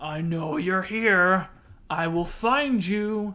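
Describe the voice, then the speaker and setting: A gruff, put-on character voice sits at middle pitch. It moves at a very slow pace. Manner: taunting.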